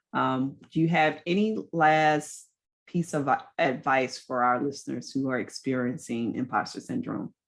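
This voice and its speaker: A woman's very deep, low voice with ordinary pitch variation, music playing in the background. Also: fairly slow pace. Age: 40s. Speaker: podcast host. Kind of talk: interview.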